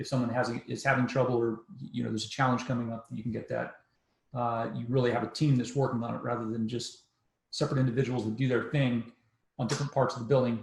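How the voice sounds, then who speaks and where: Speaking at a very fast pace, a man holds a medium pitch in a monotone, flat delivery with vocal fry. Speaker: podcast host. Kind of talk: podcast interview.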